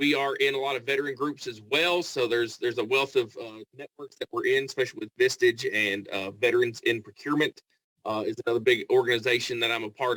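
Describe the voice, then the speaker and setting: With a Kentucky accent, a man speaks in a fairly high, bright, sharp voice with ordinary pitch variation and a dry, close sound with no echo. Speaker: staffing agency representative. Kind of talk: networking pitch.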